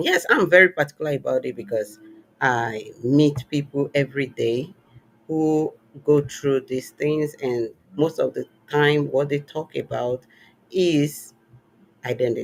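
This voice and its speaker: Speech comes at a fairly slow pace, broken by long, frequent pauses. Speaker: podcast host. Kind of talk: interview.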